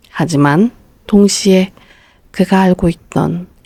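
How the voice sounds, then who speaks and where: Very slow, somewhat breathy female voice, dark and mellow, fairly even in intonation, dry and close with no echo. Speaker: audiobook narrator. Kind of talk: bedtime story reading.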